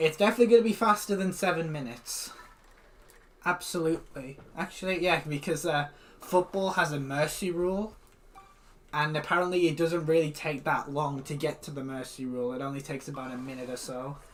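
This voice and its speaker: Rather rapid talking amid clear background noise. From northeast England. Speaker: gaming streamer. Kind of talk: live stream commentary. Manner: casual, repetitive with false starts.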